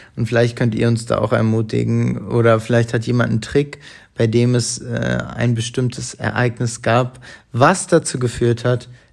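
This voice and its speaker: A man with medium pitch and fairly even intonation has an ordinary speaking voice. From Hamburg, northern Germany. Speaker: podcast co-host. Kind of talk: casual chat. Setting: at home on the sofa.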